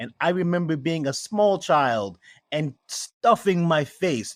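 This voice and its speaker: In a New York accent, a man with a fairly high pitch and lively intonation speaks at a very slow pace, recorded very cleanly against a silent background with a dry, close sound and no echo. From New York City, Queens and Brooklyn. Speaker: spirits maker. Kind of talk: interview.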